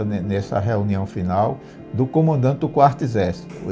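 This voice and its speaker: Lively intonation over music in the background. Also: man. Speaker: retired sanitation engineer. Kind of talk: storytelling interview answer. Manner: hesitant, repeats words.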